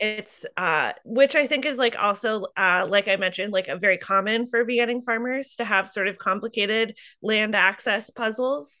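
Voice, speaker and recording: Speaking at a moderate pace with hardly any pauses, a woman with a Midwestern US accent has a bright, sharp, fairly high voice and ordinary pitch variation. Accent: US Midwest. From eastern Iowa. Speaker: farmer. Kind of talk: interview. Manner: halting, many fillers.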